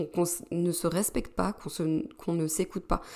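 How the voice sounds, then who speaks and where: This is a woman speaking on a very clean recording against a silent background. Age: 30s. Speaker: podcast host, business coach for women entrepreneurs. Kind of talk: solo podcast monologue. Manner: hesitant, many fillers.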